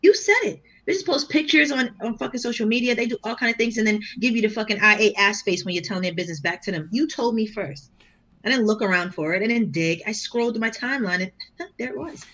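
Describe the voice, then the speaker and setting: In a Boston accent, a woman with a bright, sharp tone and fairly high pitch talks at a very fast pace with lively intonation over a quiet background. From Boston, Massachusetts. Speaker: battle rapper. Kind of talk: casual chat.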